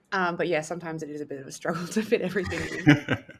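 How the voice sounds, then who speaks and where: A woman talks at a very fast pace with an Australian accent. Her pitch is fairly low. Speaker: astrophysics PhD student. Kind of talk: podcast interview.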